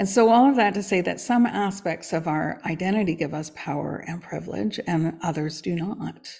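A woman with a fairly low pitch and vocal fry speaks with lively intonation. She keeps a moderate pace with hardly any pauses. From Canada. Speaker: coach and podcast co-host. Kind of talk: casual chat.

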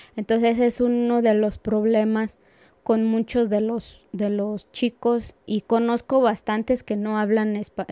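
At a very slow pace, a woman speaks in a fairly high, dark, mellow voice with monotone, flat intonation. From Aguascalientes, Mexico. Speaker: community program coordinator. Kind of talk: interview.

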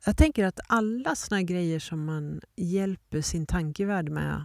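A woman's very slow, fairly low, dark and mellow voice with lively intonation, dry and close with no echo on a very clean recording with a silent background. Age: 50s. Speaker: podcast host and leadership coach. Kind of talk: reflective solo monologue. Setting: outdoors in the mountains.

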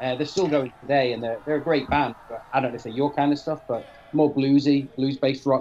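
In a Mancunian accent, a man talks at a fairly high pitch over noticeable background noise. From Manchester, northern England. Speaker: podcast guest, album reviewer. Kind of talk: casual chat.

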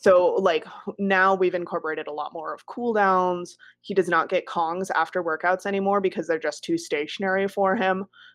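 Against a quiet background, a woman speaks in a plain, everyday voice at a medium pitch and moderate pace with fairly even intonation. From US Midwest, northern Wisconsin. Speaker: dog trainer. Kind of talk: casual interview chat. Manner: casual, many fillers.

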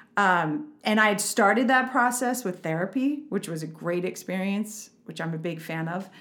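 In a normal speaking voice, a woman talks at a moderate pace and medium pitch, with lively intonation and hardly any pauses. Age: 40s. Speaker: parenting coach. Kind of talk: casual chat.

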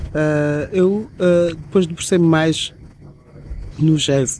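A man speaks with fairly even intonation. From Angola. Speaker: DJ. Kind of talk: interview conversation. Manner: halting, with repetitions.

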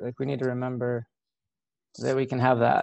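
Soft-spoken and medium-pitched, a man talks at a fairly quick pace with an American accent. The background is quiet. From rural Ohio, US Midwest. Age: 40s. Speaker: therapist. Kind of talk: casual interview chat. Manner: reflective.

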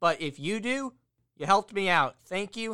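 A man speaks in a raised, projected voice with a high pitch and a bright, sharp tone. The recording is very clean, with a silent background. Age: 20s. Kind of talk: solo podcast monologue. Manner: casual, rambling.

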